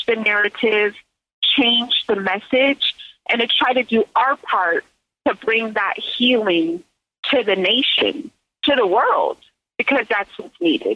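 A woman speaks in a high voice at a fairly slow pace. Her pitch varies in an ordinary way. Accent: American. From US West Coast, Silicon Valley. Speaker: naturopath and cannabis researcher. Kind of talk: interview. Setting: phone call.

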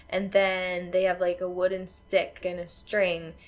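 A woman speaks with an American accent at a medium pitch. Her pace is fairly slow. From United States. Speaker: podcast co-host. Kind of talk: casual chat.

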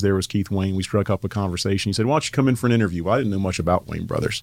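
The man's voice is fairly low. He talks with a Southern US accent. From North Carolina (Asheville). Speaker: construction company executive. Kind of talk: casual interview.

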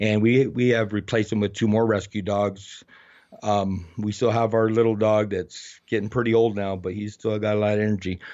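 The intonation is monotone and flat, with an American accent. The pace is moderate. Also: man, fairly low pitch for a man. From Arizona, US Southwest. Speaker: heavy equipment operator and street photographer. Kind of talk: interview.

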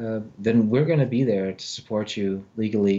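At a moderate pace, a man with an unremarkable speaking voice talks in a fairly low pitch with fairly even intonation. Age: 40s. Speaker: psychologist and mycologist. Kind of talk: podcast interview.

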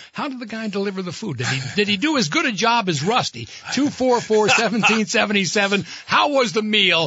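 A man talks at a fairly quick pace with lively intonation and a high pitch. Noticeable background noise runs behind him. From Vermont, Burlington. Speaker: radio host. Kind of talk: casual chat; sponsor reads.

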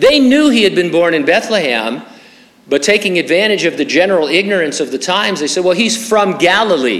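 Amid noticeable background noise and audible room echo, a man with an American accent speaks at a high pitch, swinging very widely up and down. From Southern California, San Bernardino. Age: 60s. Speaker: pastor. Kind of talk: sermon.

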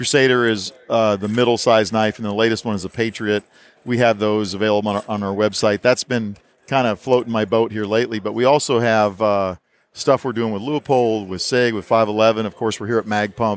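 This man's voice is fairly low and delivered in a flat monotone at a fairly quick clip. The recording is very clean, with total silence behind him. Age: 50s. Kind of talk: casual interview. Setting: expo booth.

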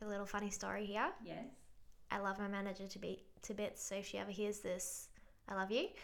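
A woman talks at a fairly quick pace with a medium pitch. Her intonation is flat and monotone, with vocal fry. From immigrant to Australia, raised in Melbourne. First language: not English. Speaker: guest. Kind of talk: casual conversation.

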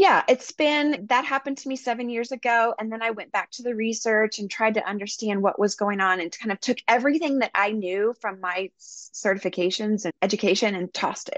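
A woman's fairly high-pitched voice, an ordinary speaking voice, at a fairly quick pace with hardly any pauses and ordinary pitch variation, dry and close with no echo against a quiet background. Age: 40s. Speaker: wellness coach and business founder. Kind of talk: interview.

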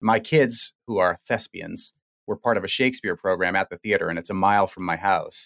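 A man with a Boston accent and a fairly low pitch, in a very clean recording with a silent background and a dry, close sound with no echo. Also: ordinary pitch variation, fairly quick pace. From Boston area, Massachusetts. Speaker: radio host. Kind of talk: interview.

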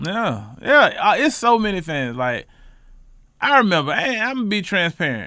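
With an American accent, a man speaks in a raised, projected voice that is high-pitched and bright, sharp in tone. His pitch swings very widely. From Charlotte, North Carolina, West Side. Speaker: housing fair organizer and community advocate. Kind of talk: casual interview.

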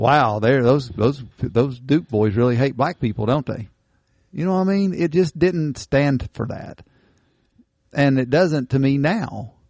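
A man with an Appalachian accent speaks in a dark, mellow tone with lively intonation. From Eastern Kentucky. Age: 50s. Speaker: podcast host. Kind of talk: casual chat.

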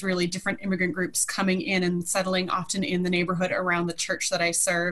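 A woman with an American accent talks against noticeable background noise. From US Midwest, Minnesota. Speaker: pastor. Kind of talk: interview.

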